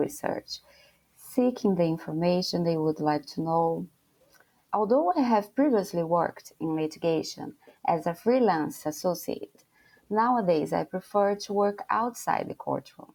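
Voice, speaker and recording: A woman with a fairly low pitch and a dark, mellow tone speaks at a moderate pace. Her intonation is lively, and the recording is very clean with a silent background. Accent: Brazilian Portuguese. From Brazil. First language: Portuguese. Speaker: lawyer. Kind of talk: interview.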